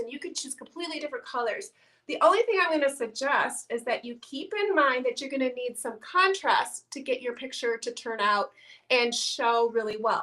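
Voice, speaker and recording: With a Midwestern accent, a woman speaks at a moderate pace in a raised, projected voice, her high pitch carrying a bright, sharp tone and lively intonation. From Iowa, US Midwest. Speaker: painting teacher. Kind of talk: tutorial.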